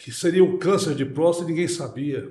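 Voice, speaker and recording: Audible room echo surrounds a man speaking at a fairly slow pace with a fairly high pitch. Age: 60s. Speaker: prostate cancer survivor. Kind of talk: interview. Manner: halting.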